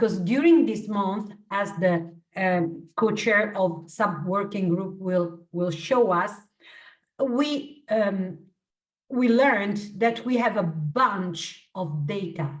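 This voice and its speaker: A woman with an Italian accent speaks very slowly at medium pitch, somewhat breathy and with lively intonation, against audible room echo. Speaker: working group co-chair. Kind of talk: online meeting remarks.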